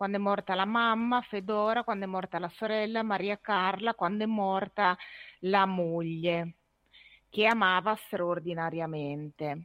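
At a fairly slow pace, a woman with medium pitch and an ordinary speaking voice keeps her intonation fairly even. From Ferrara, Emilia-Romagna. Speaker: author. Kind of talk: casual chat.

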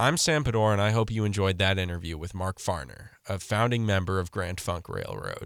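A man talks at a fairly quick pace with hardly any pauses, in an unremarkable speaking voice of fairly low pitch. The recording is very clean, with a silent background. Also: ordinary pitch variation. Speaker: podcast interviewer. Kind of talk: interview.

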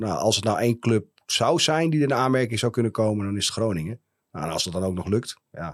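At a fairly quick pace, a plain, everyday voice speaks in a very clean recording with a silent background. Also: man, medium pitch for a man, lively intonation. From Friesland, Netherlands (Heerenveen). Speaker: company founder and director. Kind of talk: interview. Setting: studio.

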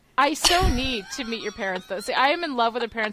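Noticeable background noise sits behind a woman with a fairly high pitch. Her tone is animated and her pitch swings very widely. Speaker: podcast co-host. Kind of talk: casual chat.

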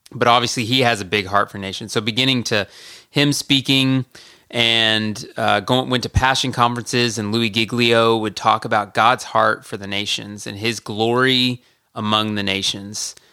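This is a plain, everyday voice with an American accent, moving at a moderate pace with fairly even intonation. The recording is very clean, and the background is silent. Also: man, medium pitch for a man. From US South, Georgia (Marietta). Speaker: missionary. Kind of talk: casual interview.

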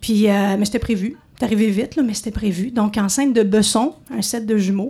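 Somewhat breathy and dark, mellow in tone, a woman speaks at a fairly high pitch and a moderate pace. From Montreal. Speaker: radio host. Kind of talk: storytelling. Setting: stage with audience.

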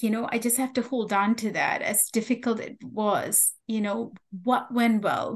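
Her pitch is fairly high for a woman, with fairly even intonation. She speaks at a fairly slow pace. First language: not English. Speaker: nurse educator and author. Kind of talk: interview.

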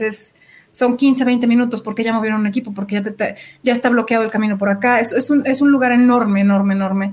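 This woman's delivery is fairly quick. She speaks at a fairly high pitch. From Mexico, Sonora. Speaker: project manager, architect-engineer. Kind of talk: interview. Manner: animated.

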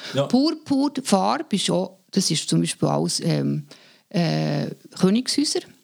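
This woman speaks at a fairly slow pace with a Swiss accent. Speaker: artist and communication expert. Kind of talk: casual chat.

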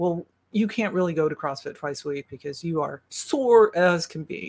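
Speaking in a plain, everyday voice, a woman keeps a moderate pace at a fairly low pitch with ordinary pitch variation. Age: 60s. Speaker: masters CrossFit athlete, breast cancer survivor. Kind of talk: interview. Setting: video call.

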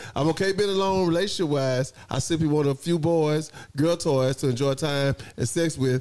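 Keeping a very even loudness, a man with a normal speaking voice talks at a moderate pace in a fairly high pitch with ordinary pitch variation. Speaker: talk show host. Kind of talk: live talk show with audience, casual banter. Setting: on camera, live audience. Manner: game show host style, hyped up, playful.

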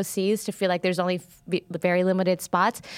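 A woman speaks in an unremarkable speaking voice at medium pitch. She talks at a fairly quick pace over a very clean recording with a silent background. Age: 30s. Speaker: comedian. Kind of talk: casual chat.

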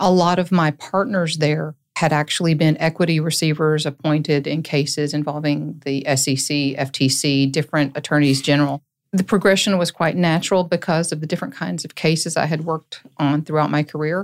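With an Appalachian accent, a woman speaks at a moderate pace in a very deep, low voice with fairly even intonation. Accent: Southern US, Appalachian. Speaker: lawyer and court-appointed receiver. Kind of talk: casual interview chat.

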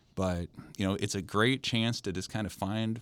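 With an American accent and an unremarkable speaking voice, a man talks at a fairly slow pace, his fairly low pitch showing ordinary pitch variation, in a very clean recording with a silent background. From Nebraska, US Midwest. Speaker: sports writer. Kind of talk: casual interview.

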